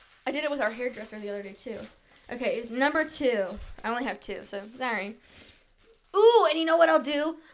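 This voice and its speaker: A high-pitched woman's voice with lively intonation, a fairly quick pace, big swings in loudness and long, frequent pauses. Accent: American. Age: 20s. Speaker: podcast host. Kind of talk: casual chat. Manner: fast; animated.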